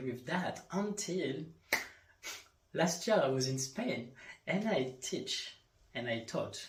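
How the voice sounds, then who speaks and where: A man speaks very slowly in a French accent, with very wide pitch swings. Audible room echo surrounds his voice. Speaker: life coach and yoga instructor. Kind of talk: solo podcast monologue. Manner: halting.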